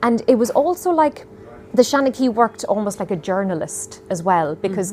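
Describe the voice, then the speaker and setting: A speaker with an Irish accent is heard over noticeable background noise. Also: woman. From Ireland. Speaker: storyteller. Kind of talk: interview answer.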